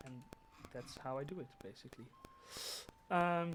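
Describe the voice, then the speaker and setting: Moderate in pace and ordinary in pitch variation, the speaker talks with a Dutch accent. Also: man. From Netherlands. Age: 20s. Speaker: gaming streamer. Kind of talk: live gameplay stream. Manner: halting.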